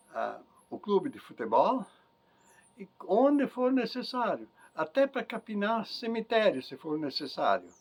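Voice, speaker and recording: A man's high voice with very wide pitch swings, big swings in loudness, a fairly slow pace and long, frequent pauses. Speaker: interviewee, farmer and community leader. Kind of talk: life-story interview. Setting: at home.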